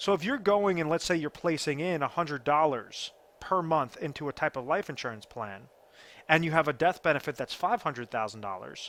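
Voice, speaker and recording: Speaking in a plain, everyday voice, this fairly quick talker uses lively intonation on a very clean recording with a silent background. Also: man, fairly high pitch for a man. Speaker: financial advisor. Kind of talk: explainer video.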